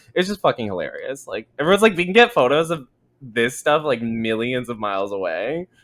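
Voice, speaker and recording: A man speaks loudly at a fairly quick pace. His pitch swings very widely. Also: fairly high pitch for a man. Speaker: podcast co-host. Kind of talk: casual chat. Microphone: very close to the microphone.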